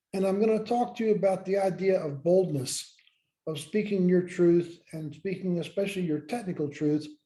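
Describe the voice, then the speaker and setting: A man with an American accent speaks at a moderate pace, his tone dark and mellow and his pitch high. His pitch varies in an ordinary way, and the room echo is audible. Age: 70s. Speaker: former space scientist and leadership educator. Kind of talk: lecture.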